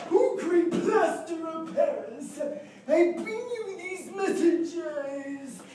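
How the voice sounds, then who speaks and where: A put-on character voice at an extremely high pitch moves along at a very slow pace. Clear background noise and a slight echo are present. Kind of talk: comic overacting. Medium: stage play. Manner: slangy, confused.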